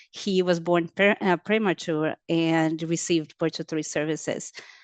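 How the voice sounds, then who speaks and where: Against a quiet background, a woman speaks at a fairly low pitch and fairly slow pace, the sound dry and close with no echo. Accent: Portuguese. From Brazil. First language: Portuguese. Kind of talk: webinar panel testimony. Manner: halting, many fillers.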